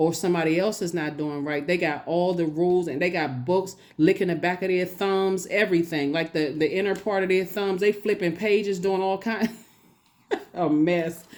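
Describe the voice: At a moderate pace, a woman speaks with fairly low pitch, fairly even intonation and a slightly mellow tone.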